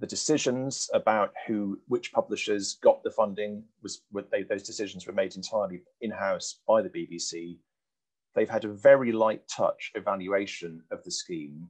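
A man speaks at a moderate pace with big swings in loudness. The background is quiet. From UK. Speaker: press policy organization founder. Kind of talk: lecture with slides then panel Q&A. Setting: video call. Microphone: headset.

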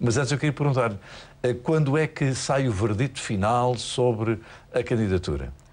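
Vocal fry marks this man's medium-pitched voice, delivered at a moderate pace with ordinary pitch variation and very even loudness. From Portugal. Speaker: TV presenter. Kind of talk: TV interview. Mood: warm, courteous. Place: studio. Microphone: lapel.

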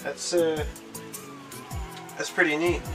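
Loud music plays in the background. A man talks at a fairly slow pace. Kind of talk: casual vlog chat. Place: home room.

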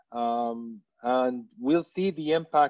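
A man talks with ordinary pitch variation. Behind him, the background stays quiet. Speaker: telecom brand communications director; panelist. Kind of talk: webinar panel discussion. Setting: online webinar. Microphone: video call.

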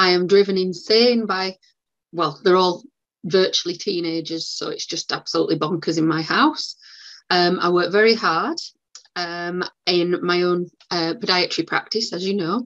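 A woman with a northern English accent speaks at a moderate pace and medium pitch, with ordinary pitch variation over a quiet background. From West Yorkshire, northern England. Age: 40s. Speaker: podiatrist; guest. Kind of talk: live interview. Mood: warm, chatty. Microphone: video call.

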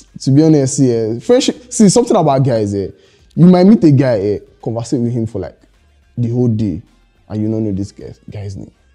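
A man talks while faint music plays in the background. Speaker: interview guest. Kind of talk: interview answer. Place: studio.

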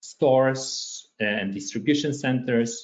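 The man's pitch rises and falls in an ordinary way. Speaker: presenter. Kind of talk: webinar presentation. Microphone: webcam.

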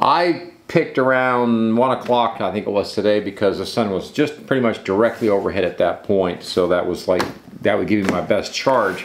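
A man talks with a fairly low pitch, ordinary pitch variation and few pauses. Room echo is audible. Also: moderate pace.

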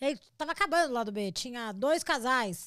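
The delivery is animated, with very wide pitch swings. The recording is very clean, with a silent background. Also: woman. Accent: Brazilian. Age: 40s. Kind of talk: casual chat.

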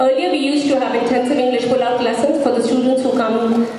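Over audible room echo, a woman talks at a fairly quick pace with a fairly high pitch and fairly even intonation.

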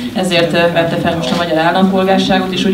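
The speech goes at a very fast pace. Loud background noise sits behind it. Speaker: interpreter translating the coach into Hungarian. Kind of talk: consecutive interpreting at a press conference. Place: meeting room. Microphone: podium.

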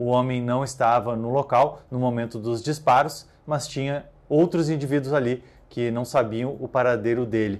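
Moving at a moderate pace, a man keeps his intonation fairly even. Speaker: police news reporter. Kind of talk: newsreading. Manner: formal, measured, neutral tone. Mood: neutral, serious. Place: studio. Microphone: lapel.

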